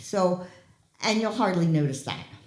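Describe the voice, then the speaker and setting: A woman's lively intonation rises over noticeable background noise and audible room echo. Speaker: health educator giving a talk on fall prevention. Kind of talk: public talk. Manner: loud.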